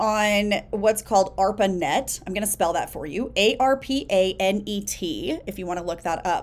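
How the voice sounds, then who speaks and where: This woman has an unremarkable speaking voice with lively intonation at a fairly slow pace. The recording is very clean, with a silent background. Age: 40s. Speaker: business coach podcast host. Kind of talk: solo podcast monologue.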